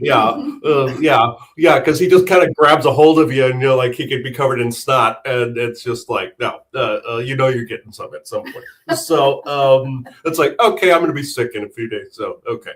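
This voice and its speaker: Pitched fairly high with ordinary variation, a man's somewhat breathy voice moves at a moderate pace. His loudness swings widely. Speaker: psychic medium. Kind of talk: interview with live channeling. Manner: halting, many fillers.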